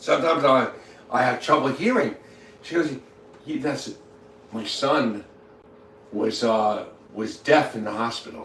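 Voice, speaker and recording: Over noticeable background noise and audible room echo, a man talks at a moderate pace with ordinary pitch variation. Long, frequent pauses break up his speech, and his loudness swings widely. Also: fairly high pitch for a man. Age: 60s. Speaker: livestreamer. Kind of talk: casual chat. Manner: halting, heavy repetition.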